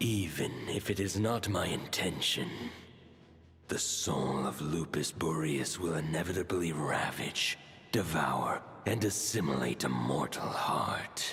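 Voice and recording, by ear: A man performs a put-on character voice with extremely low pitch, a fairly bright tone and lively intonation. He goes at a slow pace while faint music plays in the background.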